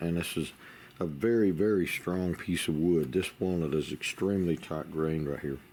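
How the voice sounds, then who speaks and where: The man's voice is very deep and low, with a dark, mellow tone. He keeps his intonation fairly even at a moderate pace. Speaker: gunstock maker. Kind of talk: workshop tutorial. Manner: halting, with fillers.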